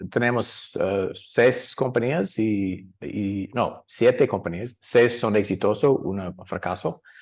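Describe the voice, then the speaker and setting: Here a man with an American accent speaks at a very slow pace. His pitch sits in the middle range. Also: quiet background. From US, San Francisco. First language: English (speaking Spanish). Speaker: angel investor. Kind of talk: panel discussion. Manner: halting, many fillers and restarts.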